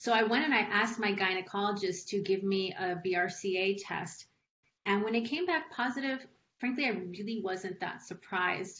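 A woman with an American accent talks at a moderate pace with ordinary pitch variation over light background noise. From Los Angeles, US (Mexican American). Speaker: patient advocate. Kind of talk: testimony. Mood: earnest, personal. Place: home room. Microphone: video call.

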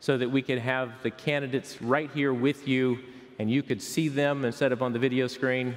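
A man talks at a moderate pace in a monotone, flat intonation. Music plays in the background. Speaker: pastor. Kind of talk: sermon. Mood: warm, celebratory. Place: church. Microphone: headset.

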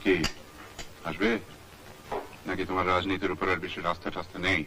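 Against noticeable background noise, a man speaks in a very deep, low voice with monotone, flat intonation. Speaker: film director. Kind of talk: film dialogue dub. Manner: natural, own normal voice. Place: studio. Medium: dub.

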